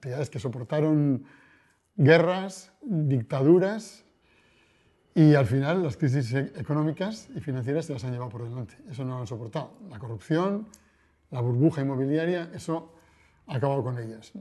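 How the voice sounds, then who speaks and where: Against a quiet background, a man speaks with a dark, mellow tone, somewhat breathy, with lively intonation and big swings in loudness. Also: fairly high pitch for a man, moderate pace. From Basque Country, Spain (Bilbao). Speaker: financial journalist. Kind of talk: interview. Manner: hesitant, with frequent repetitions.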